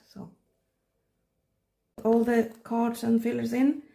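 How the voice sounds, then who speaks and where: Somewhat breathy and dark, mellow in tone, a woman's voice moves at a fairly slow pace. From Sweden, countryside. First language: Swedish. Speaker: K-pop photocard collector, hobby vlogger. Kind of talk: casual hobby vlog, talking while sorting cards. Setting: at home, countryside. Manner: halting, searching for words.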